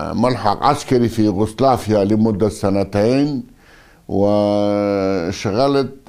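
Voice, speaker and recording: A dark, mellow tone at a very slow pace, with fairly even intonation and a quiet background. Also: man, fairly low pitch for a man. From northern Iraq, Aqrah district near Mosul (Kurdish); northern Iraq. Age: 60s. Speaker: former politician and army officer; former politician. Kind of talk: interview. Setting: at his home. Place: home room.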